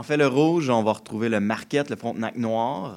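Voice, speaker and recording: With a strong Quebec accent, a man speaks at a fairly quick pace and medium pitch, his pitch varying in an ordinary way, on a very clean recording with a silent background. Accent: strong Québécois. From Quebec, Joliette region. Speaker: winery owner. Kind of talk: radio interview.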